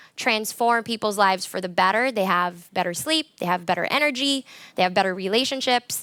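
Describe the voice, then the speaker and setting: A loud woman with an American accent, a bright, sharp tone and a fairly high pitch with ordinary variation. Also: very clean recording, silent background. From US, Colorado. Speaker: conference speaker. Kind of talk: conference talk. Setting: stage with audience.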